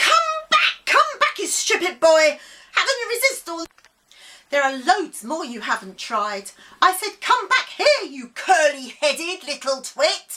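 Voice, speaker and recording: In a put-on character voice, a woman sounds angry and shrill at an extremely high pitch, swinging very widely in pitch at a moderate pace. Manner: screeching, angry.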